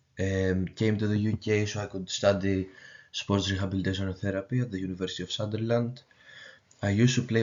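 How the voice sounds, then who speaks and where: Speaking at a fairly quick pace with a Greek accent, a man with a fairly low pitch keeps a monotone, flat intonation. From Greece. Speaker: university student. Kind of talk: student presentation. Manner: halting.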